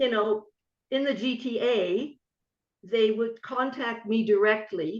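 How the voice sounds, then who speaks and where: Speaking very slowly with long, frequent pauses, a woman with a Canadian accent has a fairly high pitch. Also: fairly even intonation. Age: 70s. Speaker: racewalking coach and author. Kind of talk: podcast interview.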